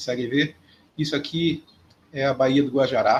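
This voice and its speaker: Talking at a fairly slow pace in a Belém accent, a man with a medium pitch sounds somewhat breathy, and his intonation stays fairly even. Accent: Belém accent with hissing 'chiado' sibilants. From Brazil, Belém (Pará). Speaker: professor. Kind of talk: lecture. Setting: remote video lecture.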